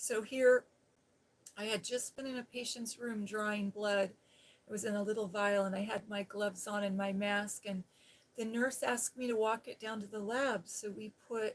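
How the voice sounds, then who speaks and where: Soft-spoken and fairly high-pitched, a woman with an American accent talks in a monotone, flat intonation. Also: moderate pace. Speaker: ASMR creator and former nurse. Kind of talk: casual storytelling about her nursing past. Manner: soft-spoken, soothing.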